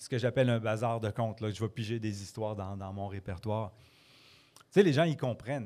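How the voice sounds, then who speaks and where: Recorded very cleanly against a silent background, a man with a dark, mellow tone and a fairly low pitch talks at a fairly quick pace, with big swings in loudness. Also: ordinary pitch variation. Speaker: storyteller. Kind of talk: casual interview. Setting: pub with live audience.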